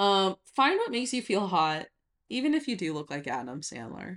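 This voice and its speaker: With an American accent, a woman of medium pitch speaks at a moderate pace with vocal fry and very wide pitch swings, the sound dry and close with no echo on a very clean recording with a silent background. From rural Nevada, US. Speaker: podcast co-host. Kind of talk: casual chat.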